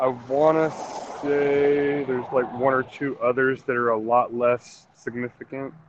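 At a fairly slow pace, a man speaks at medium pitch in a monotone, flat intonation, with noticeable background noise. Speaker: gas station worker. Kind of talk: casual chat.

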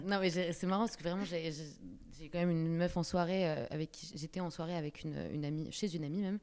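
Fairly low-pitched female speech at a fairly quick pace, with fairly even intonation and hardly any pauses. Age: 20s. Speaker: actress. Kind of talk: casual chat. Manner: halting.

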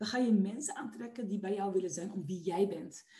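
A woman's voice is somewhat breathy, with a dark, mellow tone. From Netherlands, Westland (South Holland). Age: 20s. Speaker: entrepreneur and personal development coach. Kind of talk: podcast interview. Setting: video call.

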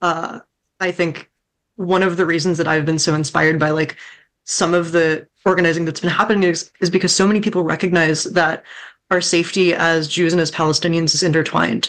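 A woman with an American accent speaks in a normal speaking voice at a fairly low pitch and a fairly quick pace. Her intonation is fairly even, her loudness very even, and the background quiet. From Southwest Washington, US. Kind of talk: panel discussion.

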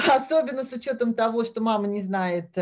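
Using a normal speaking voice, a woman talks at a moderate pace with a fairly high pitch and ordinary pitch variation. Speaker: Russian expat mother. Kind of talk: casual chat.

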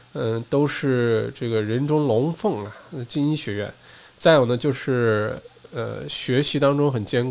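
A man talks at a fairly slow pace, medium in pitch with ordinary pitch variation. Noticeable background noise sits behind him. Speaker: podcast host and livestreamer. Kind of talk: solo livestream talk and news update. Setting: live stream. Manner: casual, with frequent fillers.

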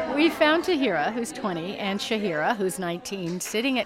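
Over noticeable background noise, a woman at a medium pitch talks at a moderate pace with very wide pitch swings. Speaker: writer. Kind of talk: radio narration.

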